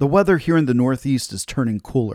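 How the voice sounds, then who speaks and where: Recorded very cleanly against a silent background, with a dry, close sound and no echo, a man speaks at a fairly high pitch with very wide pitch swings. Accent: American. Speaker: radio host. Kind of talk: pep talk. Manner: animated; uplifting, encouraging.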